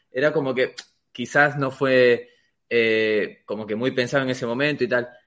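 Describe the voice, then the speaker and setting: Here is a man in a Peruvian accent. His pitch moves with ordinary variation. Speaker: podcast co-host. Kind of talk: podcast interview. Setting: studio.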